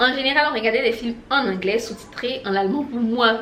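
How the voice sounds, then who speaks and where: A woman with a fairly high voice speaks at a moderate pace with ordinary pitch variation, while noticeable background noise and audible room echo fill the recording. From Côte d'Ivoire. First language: an Ivorian language (not French) (speaking French). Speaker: language-learning youtuber. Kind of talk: casual motivational vlog.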